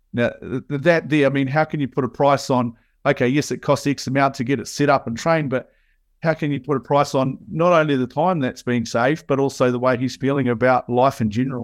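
Here a man speaks in a New Zealand accent at a fairly quick pace. His pitch sits fairly high, and his intonation is fairly even. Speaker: software consultant. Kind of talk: casual interview chat. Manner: halting, many fillers.

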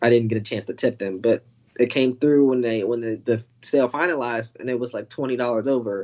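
A man with an American accent and a plain, everyday voice, medium in pitch, at a fairly quick pace with fairly even intonation. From North Carolina. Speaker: caller, former crypto trader. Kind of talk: casual chat. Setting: video call.

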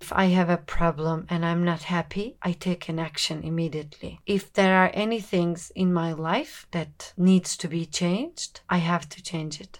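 Speaking at a moderate pace with hardly any pauses, a woman uses a fairly low pitch and fairly even intonation, her loudness swinging widely on a very clean recording with a silent background. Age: 20s. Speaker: podcast host. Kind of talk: casual monologue. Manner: unscripted, casual.

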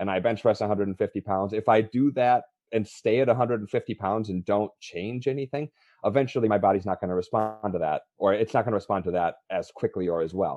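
A man with an American accent talks at a moderate pace in a fairly low pitch with ordinary pitch variation, an unremarkable speaking voice. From northern Wisconsin, rural Upper Midwest US. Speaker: fitness coach and IT entrepreneur. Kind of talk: casual interview.

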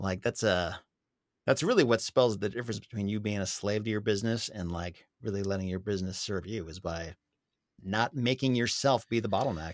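A man's normal speaking voice, fairly low in pitch with ordinary pitch variation, at a fairly quick pace on a very clean recording with a silent background. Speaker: blogger and real estate investor. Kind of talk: casual interview chat.

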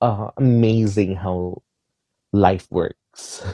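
A man speaks at a fairly low pitch in a dark, mellow tone. His pitch varies in an ordinary way, with a dry, close sound and no echo. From Philippines. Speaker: singer and entertainer. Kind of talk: interview conversation.

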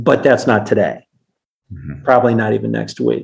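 This is a man speaking. His pitch is medium. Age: 50s. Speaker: fitness coach, military veteran. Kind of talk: interview. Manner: halting.

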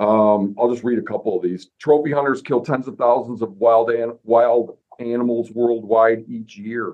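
A man speaks in a plain, everyday voice, at a medium pitch and a moderate pace. His intonation is fairly even, and he takes hardly any pauses. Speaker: podcast host. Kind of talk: casual chat.

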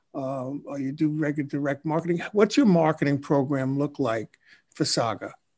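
With a quiet background, a man talks at a moderate pace in an ordinary speaking voice, his fairly high pitch showing ordinary pitch variation. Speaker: podcast host and marketing CEO. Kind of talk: casual interview.

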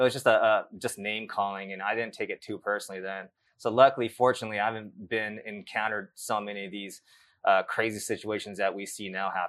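Over a quiet background, a man with a Californian accent speaks very fast at a fairly low pitch with monotone, flat intonation. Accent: Californian American English. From US West Coast, South Bay of Los Angeles. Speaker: life coach and author. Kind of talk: interview. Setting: live event. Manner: halting, many repeated words.

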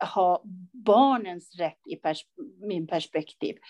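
A woman speaks at a very slow pace with ordinary pitch variation, the sound dry and close with no echo. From Iran. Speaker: school counsellor and social worker. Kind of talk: interview.

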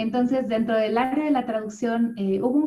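A woman with an unremarkable speaking voice, ordinary pitch variation and a moderate pace. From Mexico City. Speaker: yoga instructor and voice-over artist. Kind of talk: interview conversation.

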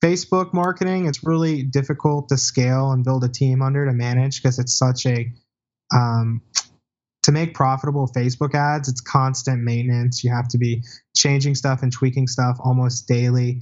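At a moderate pace, a man speaks somewhat breathily with fairly even intonation. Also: medium pitch for a man. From rural small town. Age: 20s. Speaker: entrepreneur. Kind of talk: interview.

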